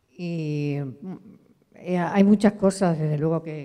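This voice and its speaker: A woman's very deep, low voice, dark and mellow in tone, with fairly even intonation against a quiet background. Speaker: audience member. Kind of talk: audience comment in Q&A. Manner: halting. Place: hall. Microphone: handheld.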